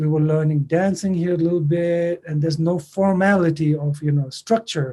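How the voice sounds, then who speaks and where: A dark, mellow tone with a Tibetan accent at a moderate pace. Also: man. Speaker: singer and songwriter. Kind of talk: interview. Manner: halting.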